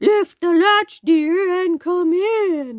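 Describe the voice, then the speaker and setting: This is a put-on character voice that sounds female. The pitch is extremely high for a woman. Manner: feigned sweetness, disguised.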